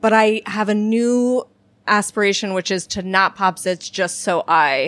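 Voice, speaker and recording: On a very clean recording with a silent background, a woman with an unremarkable speaking voice talks at medium pitch with lively intonation. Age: 30s. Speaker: humorist and author. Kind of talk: casual chat.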